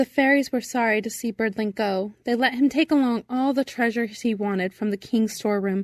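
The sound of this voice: Pitch varies in an ordinary way throughout an unforced reading voice.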